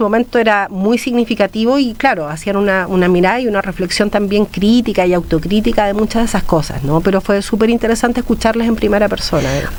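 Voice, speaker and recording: Over noticeable background noise, a woman talks at a very fast pace and medium pitch, with very even loudness and ordinary pitch variation. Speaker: academic researcher. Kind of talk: radio interview.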